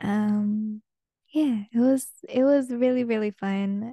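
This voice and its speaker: A woman with a Spanish accent, a dark, mellow tone and a medium pitch, with fairly even intonation, dry and close with no echo against a quiet background. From Peruvian family, raised mostly outside Peru. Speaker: podcast host. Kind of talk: casual solo monologue.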